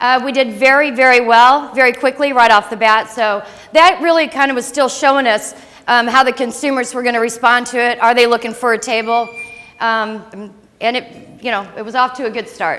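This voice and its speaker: Over noticeable background noise, a woman with an American accent speaks loudly at a moderate pace. Her voice is high, with fairly even intonation. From St. Louis, Missouri, US Midwest. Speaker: startup founder. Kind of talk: business pitch presentation.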